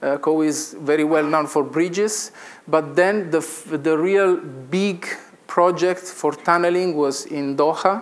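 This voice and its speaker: With an Italian accent, a man speaks at a fairly high pitch and fairly slow pace. His intonation is fairly even, and the room echo is audible. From Italy. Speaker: engineering consultant. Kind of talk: conference presentation. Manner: halting.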